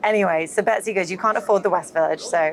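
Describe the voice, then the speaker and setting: Amid noticeable background noise, a woman with a British accent talks at a very fast pace. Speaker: marketing executive. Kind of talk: interview conversation. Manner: animated storytelling.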